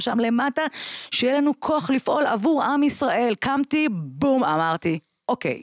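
This woman's pitch swings very widely. The sound is dry with no echo, and the background is quiet. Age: 40s. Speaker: bereaved mother; podcast guest. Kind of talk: testimony. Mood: grave, emotional storytelling. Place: studio. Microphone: studio mic.

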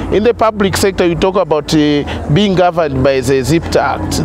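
Music plays in the background as a man talks at a moderate pace. The sound is dry with no echo. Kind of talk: interview answer. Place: garden. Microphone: lapel.

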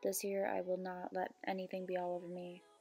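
A woman with a dark, mellow tone talks at a moderate pace. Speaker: beauty vlogger. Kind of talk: casual vlog chat. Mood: self-deprecating, relaxed.

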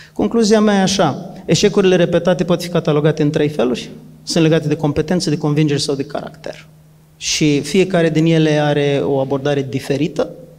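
The speaker, a man, moves at a fairly quick pace. Ordinary pitch variation marks his speech. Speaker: trainer and coach. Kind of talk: talk answering a question, structured explanation. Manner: structured, methodical. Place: hall. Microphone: handheld.

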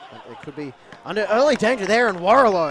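There is crowd noise in the background. A man speaks with very wide pitch swings. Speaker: football commentator. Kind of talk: live football commentary, play-by-play. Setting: stadium match broadcast. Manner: breathless, calls shots and saves as they happen.

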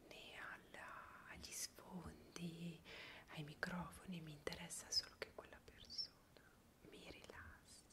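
Whispering, a woman speaks at a very slow pace. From Piedmont, Italy. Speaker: ASMR creator. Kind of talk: interview answer. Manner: whispered. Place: home room. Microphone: earbuds.

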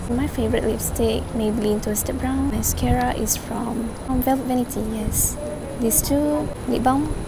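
The voice moves at a moderate pace, with a dry sound with no echo and loud background noise. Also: woman. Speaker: vlogger. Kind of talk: casual vlog chat. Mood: relaxed, playful. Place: cafe. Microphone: phone near.

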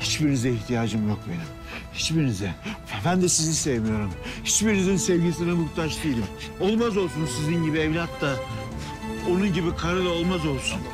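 Clear music plays in the background as a man talks at a fairly quick pace, the sound dry with no echo. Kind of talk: acted drama dialogue. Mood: angry, bitter, shouting. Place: street.

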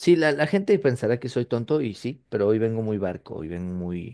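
A man's dark, mellow tone in a Mexican accent, with very wide pitch swings over a quiet background. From Mexico. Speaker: wrestling podcast co-host. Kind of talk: casual chat. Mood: joking, laughing. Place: home room. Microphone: webcam.

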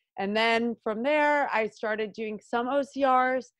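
Over a quiet background, a woman with a Long Island accent speaks at a fairly slow pace. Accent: Long Island New York. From US Northeast, Long Island, New York. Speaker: pro adventure racer. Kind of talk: interview. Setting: remote call.

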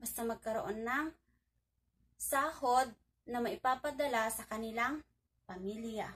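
Her pitch is fairly high, and she talks at a fairly slow pace with ordinary pitch variation. The woman leaves long, frequent pauses. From Philippines. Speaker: overseas worker vlogger. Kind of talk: vlog monologue. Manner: stumbling over words. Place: home room. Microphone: phone near.

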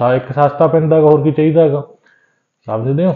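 A man delivers his words with fairly even intonation.

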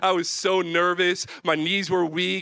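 A man's bright, sharp tone comes at a moderate pace over a quiet background. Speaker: youth pastor. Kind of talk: sermon. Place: stage. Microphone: handheld.

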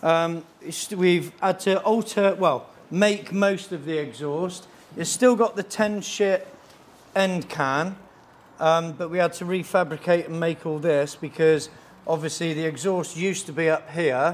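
At a fairly slow pace, a man talks in a high pitch with fairly even intonation. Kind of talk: casual explanation. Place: workshop.

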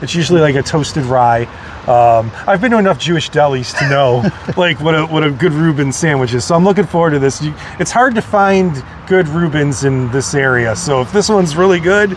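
A man speaks at a fairly quick pace. There is light background noise, and the sound is dry with no echo. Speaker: guest. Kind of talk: casual vlog chat. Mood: cheerful, joking. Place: street. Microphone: lapel.

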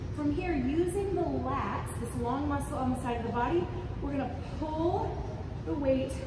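There is audible room echo and noticeable background noise as a woman speaks. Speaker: fitness instructor. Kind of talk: tutorial. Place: gym. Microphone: camera far.

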